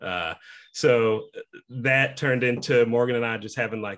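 Here a man talks at a moderate pace. The background is quiet. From Kansas, US. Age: 30s. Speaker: sales manager, new podcast co-host. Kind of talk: casual interview chat. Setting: video call. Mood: relaxed, friendly, laughing. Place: home room. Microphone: video call.

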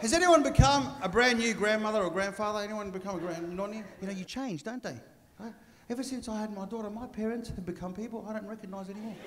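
A man talks at a fast pace with few pauses. His pitch is high and varies in an ordinary way.

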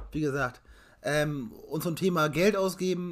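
Light background noise sits behind the speaker. He is a man with ordinary pitch variation. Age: 20s. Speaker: car YouTuber and collector; car YouTuber. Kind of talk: casual chat. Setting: live stream. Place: home room. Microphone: webcam.

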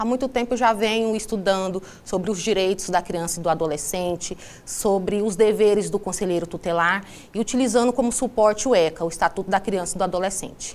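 A woman's medium-pitched voice, an ordinary speaking voice, at a fairly quick pace with ordinary pitch variation. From Alto Garças, Mato Grosso, Brazil; Mato Grosso, Brazil. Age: 30s. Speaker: social worker and local election candidate; election candidate. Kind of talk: TV interview, campaign statement. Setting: TV studio. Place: studio. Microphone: lapel.

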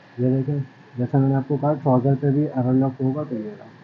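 A man speaks at a moderate pace with monotone, flat intonation. Light background noise can be heard. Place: shop. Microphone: phone near.

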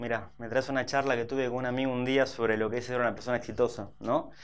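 A man at a fairly quick pace. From Buenos Aires, Argentina (Saavedra); Buenos Aires. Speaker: fitness trainer and entrepreneur; fitness trainer. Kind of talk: interview. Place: studio.

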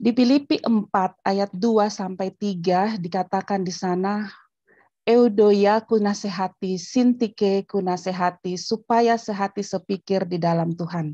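A woman's dark, mellow voice with fairly even intonation, dry with no echo, over a quiet background. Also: fairly slow pace. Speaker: theology school head, pastor; pastor. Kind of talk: lecture. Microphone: video call.

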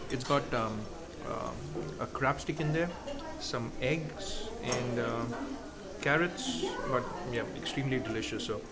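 A man's voice with ordinary pitch variation over loud background noise. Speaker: food vlogger. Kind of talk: casual vlog chat. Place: cafe. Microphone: phone near.

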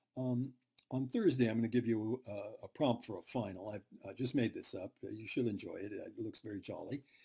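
Somewhat breathy and dark, mellow in tone, a man talks at a fairly quick pace with ordinary pitch variation and big swings in loudness, over a quiet background. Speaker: university lecturer. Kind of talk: lecture. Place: home room. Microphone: webcam.

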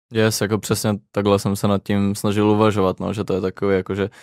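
This recording is very clean, with a silent background and a dry, close sound with no echo. A man speaks at a fairly quick pace with a fairly low pitch. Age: young. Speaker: music producer. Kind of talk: casual interview.

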